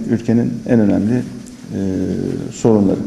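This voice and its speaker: Audible room echo surrounds the speaker. A man talks at a fairly quick pace. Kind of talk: press statement. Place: meeting room. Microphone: podium.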